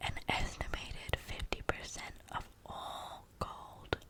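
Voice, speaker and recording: A woman whispers amid noticeable background noise. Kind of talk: ASMR fact reading while chewing gum. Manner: soft, intimate.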